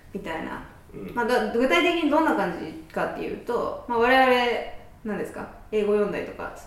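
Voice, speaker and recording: Very wide pitch swings and big swings in loudness at a fairly quick pace, with noticeable background noise and audible room echo. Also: woman, high pitch for a woman. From Kansai. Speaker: podcast host. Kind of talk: casual chat.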